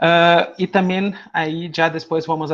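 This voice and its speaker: This is a man speaking. He goes at a very slow pace. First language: not Spanish (speaking Spanish). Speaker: music education lecturer. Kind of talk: online seminar lecture. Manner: hesitant with fillers.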